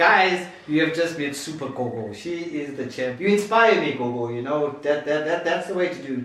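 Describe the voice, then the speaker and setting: There is audible room echo and noticeable background noise. A man speaks in an animated tone. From Zimbabwe. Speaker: YouTube channel host. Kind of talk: interview. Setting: at the host's home.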